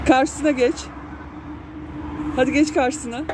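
The speech comes at a slow pace with fairly even intonation, over faint background noise. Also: woman, high pitch for a woman, slightly mellow tone.

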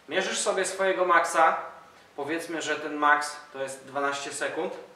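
The speech moves at a moderate pace with ordinary pitch variation. Room echo is audible. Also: man. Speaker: calisthenics coach. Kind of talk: tutorial. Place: gym.

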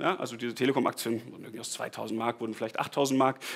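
Words come very fast from this man. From Bavaria (Tegernsee), southern Germany; Bavaria. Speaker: startup founder. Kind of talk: conference talk. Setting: stage with audience. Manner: casual, with many fillers and repetitions. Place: hall.

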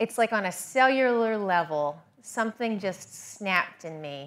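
A woman with an unremarkable speaking voice talks in an American accent. Her fairly high pitch carries lively intonation at a fairly slow pace. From US South. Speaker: orchardist and hog farmer. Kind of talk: presentation.

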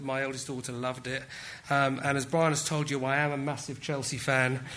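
Speaking with a British accent, a man keeps a medium pitch and a monotone, flat intonation. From England. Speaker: technology executive. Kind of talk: conference talk. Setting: stage with audience. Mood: light, self-deprecating humour. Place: hall. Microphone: podium.

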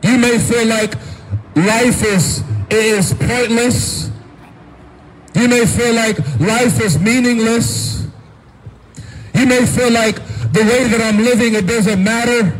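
At a very slow pace, with long, frequent pauses, the voice keeps very even loudness and ordinary pitch variation. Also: man. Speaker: street preacher. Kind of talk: street sermon. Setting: outdoors. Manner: earnest, urgent pleading; repetitive, emphatic, with frequent amens. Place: street.

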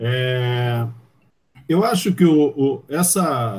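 A man's somewhat breathy voice sits fairly high. His pitch swings very widely. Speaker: sports commentator. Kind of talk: casual interview. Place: home room.

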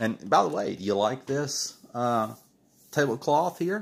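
The man speaks at a fairly slow pace. His pitch swings very widely. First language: not English. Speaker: comic artist and livestream host. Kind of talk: casual livestream while drawing. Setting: live stream, home studio. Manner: informal, hesitant, with many fillers. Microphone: phone near.

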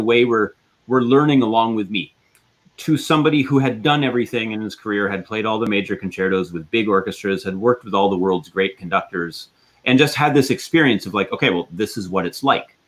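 A man speaks with a Canadian accent and lively intonation. His pace is very fast. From western Canada. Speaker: orchestra concertmaster violinist. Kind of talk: interview. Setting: video call live stream. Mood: reflective, warm. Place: home room. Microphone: video call.

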